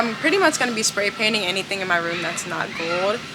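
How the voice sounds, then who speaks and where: With noticeable background noise and audible room echo, a woman speaks at a fairly quick pace. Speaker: home decor vlogger. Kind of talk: casual vlog. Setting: home improvement store.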